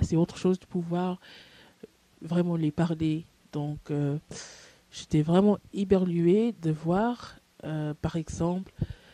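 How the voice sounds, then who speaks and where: Her pitch fairly low, a woman speaks at a very slow pace. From USA. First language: English (speaking French). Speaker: language learner vlogger. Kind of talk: casual video message. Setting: audio-only recording into a microphone. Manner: halting, many fillers.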